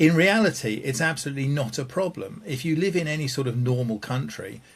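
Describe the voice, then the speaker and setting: His voice is fairly high for a man and somewhat breathy. He talks at a fairly quick pace with lively intonation. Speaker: game show panelist. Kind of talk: timed improvised monologue. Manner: fluent, fast.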